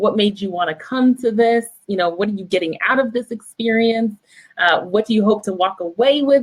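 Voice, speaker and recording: A woman with a plain, everyday voice speaks at a fairly quick pace, her pitch fairly high and its variation ordinary. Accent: American. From Vermont, US. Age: 30s. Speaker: copywriting coach. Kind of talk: interview. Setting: live video stream.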